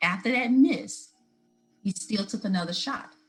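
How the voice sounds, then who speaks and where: With music in the background, a woman talks at a moderate pace. Her pitch varies in an ordinary way. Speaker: motivational speaker. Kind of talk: interview conversation.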